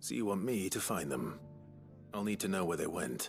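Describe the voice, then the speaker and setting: A man's put-on character voice, very deep, low and raspy, with lively intonation and very even loudness, at a moderate pace over clear background music. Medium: video game. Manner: terse, dry, understated.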